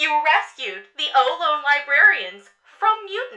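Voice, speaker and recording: A put-on character voice, high in pitch, moves at a fairly slow pace. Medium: audio drama.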